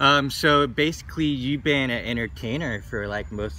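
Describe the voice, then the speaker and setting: Bright and sharp in tone with vocal fry, the voice moves at a moderate pace with lively intonation. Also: man. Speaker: podcast host. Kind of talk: interview question.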